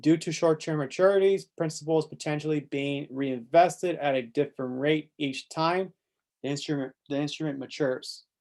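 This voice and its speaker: With a plain, everyday voice, a man talks at a moderate pace and fairly high pitch, his intonation fairly even, on a very clean recording with a silent background. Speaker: exam tutor. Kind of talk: tutorial. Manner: casual.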